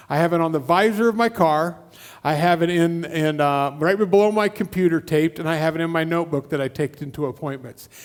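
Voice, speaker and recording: In a Midwestern US accent, a man talks at a fairly quick pace with a high pitch and ordinary pitch variation. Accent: US Midwest. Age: 60s. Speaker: guest preacher. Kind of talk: sermon. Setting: church.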